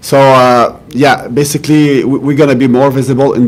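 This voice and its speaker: With a French accent, a man speaks at medium pitch and a moderate pace in a monotone, flat delivery against noticeable background noise. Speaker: police official. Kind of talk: press conference answers. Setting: press conference. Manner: halting, many repetitions.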